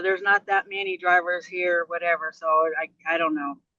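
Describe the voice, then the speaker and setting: A woman at medium pitch talks at a moderate pace in a bright, sharp tone, the sound dry and close with no echo. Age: 60s. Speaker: truck driver. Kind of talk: interview testimony. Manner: animated.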